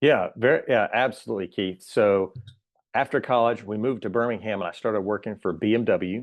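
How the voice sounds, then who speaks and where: Talking at a fairly quick pace, a man with an American accent keeps a medium pitch with ordinary pitch variation. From US South, southern Alabama. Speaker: church worker. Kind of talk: casual interview. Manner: careful enunciation.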